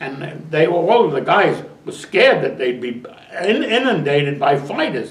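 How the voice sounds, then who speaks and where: A man's voice with lively intonation, noticeable background noise and audible room echo. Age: 90s. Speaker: war veteran. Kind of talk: interview. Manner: halting.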